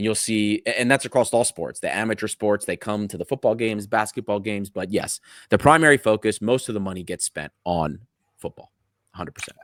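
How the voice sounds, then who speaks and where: A man with a plain, everyday voice and an American accent speaks at a fairly quick pace with a fairly low pitch and ordinary pitch variation, the sound dry and close with no echo on a very clean recording with a silent background. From United States, Greek American family. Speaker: football fan podcaster. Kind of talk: casual interview chat.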